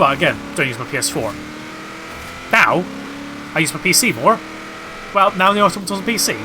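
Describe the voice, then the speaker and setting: Over music in the background, a man rattles along at a very fast pace in a Bristol accent. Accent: West Country (Bristol). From England, Bristol area. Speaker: gaming streamer. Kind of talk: casual live-stream chat. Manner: casual, hesitant with fillers.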